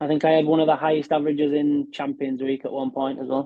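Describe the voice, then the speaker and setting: Speaking fairly quickly in a Yorkshire accent, a man with a fairly high voice keeps his intonation monotone and flat. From West Yorkshire, Castleford. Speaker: professional darts player. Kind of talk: podcast interview.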